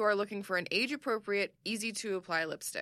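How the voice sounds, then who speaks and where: At a moderate pace, a woman speaks in an unremarkable speaking voice pitched fairly high, with dry, close sound, no echo, and a very clean recording with a silent background. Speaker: podcast host. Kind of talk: casual chat.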